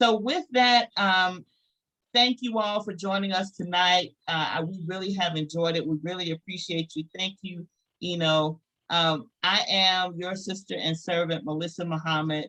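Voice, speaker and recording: In a Southern US accent, a woman talks at a moderate pace with a bright, sharp tone. Her pitch is medium, with ordinary variation. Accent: Southern US (Georgia). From US South, rural Georgia. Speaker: business network host. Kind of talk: closing remarks at a virtual meeting. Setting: video call.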